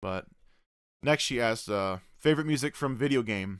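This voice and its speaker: A man's fairly quick speech with ordinary pitch variation, dry sound with no echo and a quiet background. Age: 20s. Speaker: streamer and vlogger. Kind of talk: casual Q&A video blog. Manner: hesitant with many fillers. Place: home room. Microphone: studio mic.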